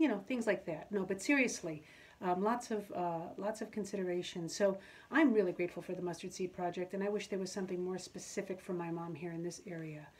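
A woman talks very fast in a warm tone. Her pitch is medium, with ordinary variation. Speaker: auctioneer. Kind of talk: casual talk to camera. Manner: warm, friendly. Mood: warm, grateful. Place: home room. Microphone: phone near.

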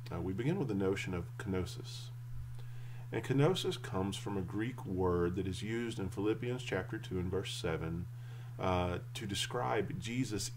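Somewhat breathy, a man speaks at a moderate pace with ordinary pitch variation over light background noise. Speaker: church teacher or pastor. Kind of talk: sermon. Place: home room. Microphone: webcam.

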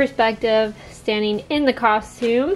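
The speaker is a woman. Her voice rises and falls in an ordinary way. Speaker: craft vlogger. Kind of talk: casual vlog chat. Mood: excited, cheerful.

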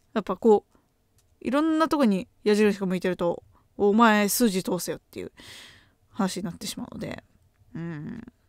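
A woman speaks at a moderate pace with lively intonation, long, frequent pauses and big swings in loudness, in a dry sound with no echo. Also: quiet background. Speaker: graduate student and podcaster; podcaster. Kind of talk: casual chat. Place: home room. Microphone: studio mic.

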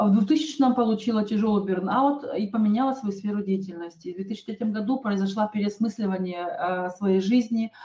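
A woman talks with hardly any pauses. Audible room echo surrounds her voice. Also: ordinary pitch variation, moderate pace. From Kazakhstan, Almaty. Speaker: network marketing presenter; presenter. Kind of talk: sales webinar. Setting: online webinar. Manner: hesitant, many filler sounds. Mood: calm, personal, persuasive. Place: home room. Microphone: webcam.

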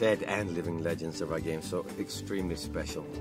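Clear music plays in the background as the voice moves at a moderate pace, the sound dry with no echo. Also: man. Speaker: interviewee. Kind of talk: interview answer. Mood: relaxed, amused. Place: car.

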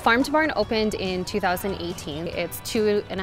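A woman talks at a fairly quick pace, the sound dry with no echo. Clear music plays in the background. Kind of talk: interview answer. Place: garden. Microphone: lapel.

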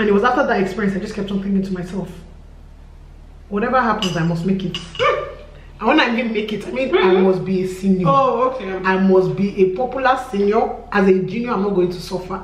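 A woman at a very fast pace, with audible room echo. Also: ordinary pitch variation. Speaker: vlogger telling a story. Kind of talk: casual vlog chat. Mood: aggrieved, emphatic storytelling. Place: home room.

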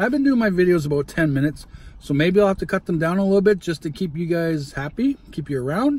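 The recording is dry, without any echo. A man delivers his words at a fairly quick pace. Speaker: food vlogger. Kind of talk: casual vlog chat. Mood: warm, motivational. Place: car. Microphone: phone near.

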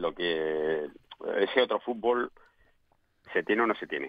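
A man's very deep, low voice at a fairly slow pace, with ordinary pitch variation, a quiet background and a dry sound with no echo. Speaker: former professional footballer, pundit. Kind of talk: radio sports panel discussion. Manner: halting, repeats words. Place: studio.

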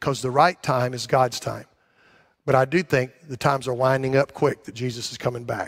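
Against a quiet background, a man speaks at a moderate pace with fairly even intonation and big swings in loudness. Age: 60s. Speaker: pastor. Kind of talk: sermon. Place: church.

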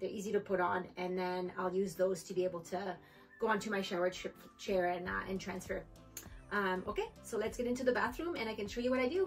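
The speech comes at a very fast pace with fairly even intonation. Faint music plays in the background. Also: woman. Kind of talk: tutorial. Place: home room. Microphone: camera far.

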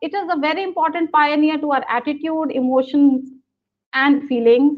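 A woman speaks in a high pitch with an Indian accent and ordinary pitch variation. The background is quiet. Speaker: business school professor. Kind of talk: webinar lecture. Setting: video call. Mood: warm, smiling. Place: home room. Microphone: video call.

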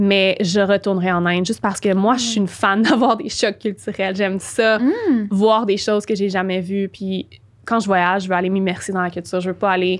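Behind the voice, everything is quiet. The delivery moves at a moderate pace. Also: woman. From Quebec. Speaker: spiritual and business coach; podcast guest. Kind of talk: interview. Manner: animated. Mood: calm, reflective. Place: studio. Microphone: studio mic.

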